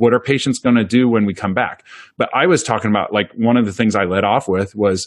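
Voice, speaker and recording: A man with a US Midwestern accent against a quiet background. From central Iowa, US Midwest. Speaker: dentist and practice owner. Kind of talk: interview conversation.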